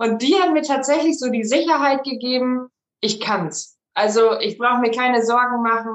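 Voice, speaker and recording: A woman with an ordinary speaking voice talks at a fairly high pitch and a moderate pace, using ordinary pitch variation. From Germany, Münsterland (Rosendahl near Coesfeld). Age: 20s. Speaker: bra fitting studio franchisee. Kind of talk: casual interview chat.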